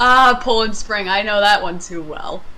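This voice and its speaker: A woman with an American accent speaks at a fairly slow pace. Noticeable background noise sits behind her. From US, Maine. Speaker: video game streamer. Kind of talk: casual chat during gameplay stream.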